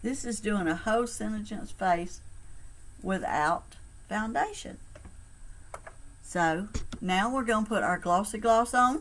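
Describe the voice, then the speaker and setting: The speaker uses a Southern US accent, moving at a fairly slow pace with long, frequent pauses. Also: woman. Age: 60s. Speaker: cosmetics sales consultant. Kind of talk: makeup tutorial. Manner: casual, chatty.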